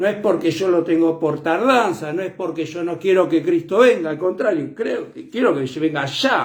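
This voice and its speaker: A moderate pace and ordinary pitch variation from a man with a high pitch. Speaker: preacher. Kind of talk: sermon. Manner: loud; soft-spoken usually.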